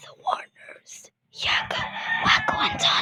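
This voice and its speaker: Someone whispers at a very slow pace. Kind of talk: read story. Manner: quiet.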